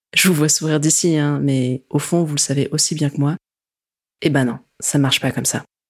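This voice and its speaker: With a very deep, low pitch and a monotone, flat intonation, a woman speaks at a moderate pace with long, frequent pauses. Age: 20s. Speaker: podcast host. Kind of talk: personal narration.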